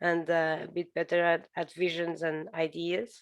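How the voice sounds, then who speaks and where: A woman at medium pitch and a fairly slow pace. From Portugal. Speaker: architect. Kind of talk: interview. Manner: hesitant, many fillers.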